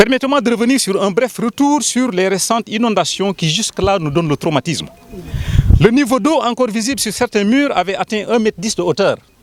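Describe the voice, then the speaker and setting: With noticeable background noise but a dry, close sound with no echo, a man talks fairly quickly in a high pitch with lively intonation. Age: 60s. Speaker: community spokesman. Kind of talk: public statement. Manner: formal; emphatic.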